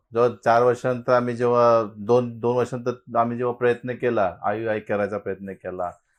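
A man speaks in a monotone with flat intonation. The background is quiet. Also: medium pitch for a man. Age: 50s. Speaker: fertility patient. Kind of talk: testimony.

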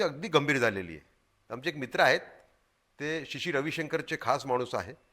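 Vocal fry is audible in this man's voice. His tone is bright and sharp. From Madhya Pradesh, India (Gwalior). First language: Hindi (speaking Marathi). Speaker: journalist and activist. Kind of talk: interview. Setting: studio. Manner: halting.

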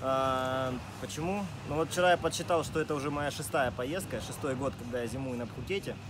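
A man speaks at a fairly slow pace. Noticeable background noise is present. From Rostov-on-Don, Russia. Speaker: wakeboard rider and coach. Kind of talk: interview answers. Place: open country.

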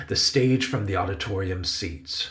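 Vocal fry runs through a man's speech at a moderate pace. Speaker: author and audiobook narrator. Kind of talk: children's audiobook narration.

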